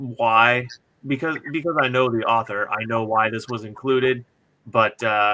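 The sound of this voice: Fairly even intonation in an unforced reading voice, background quiet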